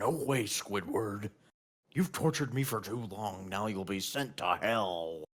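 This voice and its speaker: Growling in a put-on character voice, a man speaks fairly slowly at a fairly low pitch. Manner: menacing, vengeful.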